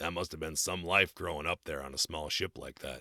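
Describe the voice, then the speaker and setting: A man's put-on character voice, raspy and very deep, at a fairly quick pace with fairly even intonation, in a dry, close sound with no echo. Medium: read story. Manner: blunt, gruff.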